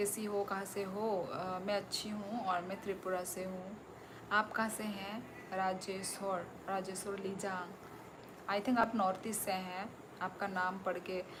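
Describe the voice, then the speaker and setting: A woman with a Tripura accent speaks in a stern tone at medium pitch and a monotone, flat delivery, with audible room echo and noticeable background noise. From Tripura, northeast India. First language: Kokborok (speaking Hindi). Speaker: live streamer, former teacher. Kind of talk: live stream chat reading viewer comments. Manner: loud; stern-sounding.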